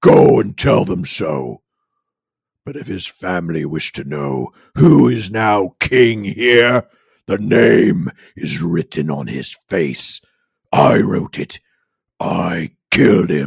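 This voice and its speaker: A man uses a put-on character voice, raspy and very deep in pitch. He speaks at a very slow pace with long, frequent pauses. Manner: menacing, harsh, villainous.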